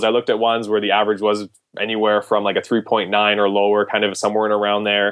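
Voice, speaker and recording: With a Canadian accent, a man talks at a very fast pace and fairly low pitch. His intonation is monotone and flat, his loudness very even. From Canada. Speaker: premed applicant guest. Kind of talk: casual interview.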